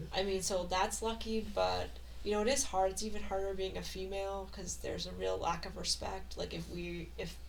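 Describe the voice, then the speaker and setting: Soft-spoken at a moderate pace, a woman talks over audible room echo. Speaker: high school teacher. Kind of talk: casual chat.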